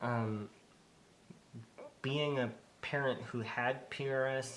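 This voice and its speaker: A soft-spoken man. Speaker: parent with the condition. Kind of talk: interview.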